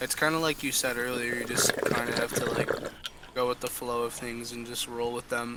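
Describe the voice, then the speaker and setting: Over noticeable background noise, a man talks at medium pitch with monotone, flat intonation. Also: moderate pace. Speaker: podcast host. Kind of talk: casual chat.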